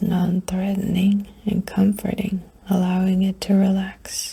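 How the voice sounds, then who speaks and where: A gentle tone at a very slow pace, with noticeable background noise. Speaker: ASMR creator. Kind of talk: soft-spoken ASMR sleep guide. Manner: soft-spoken, gentle, calming.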